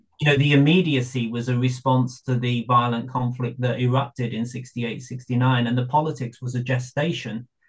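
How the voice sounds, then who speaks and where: Speaking at a moderate pace, a man with a medium pitch sounds somewhat breathy, his intonation monotone and flat. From Birmingham, England (Irish family). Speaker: academic and novelist. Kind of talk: interview.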